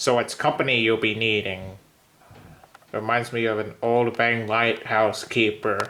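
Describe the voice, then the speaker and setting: A man's put-on character voice at a medium pitch and a moderate pace. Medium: read story. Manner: hearty, nautical slang.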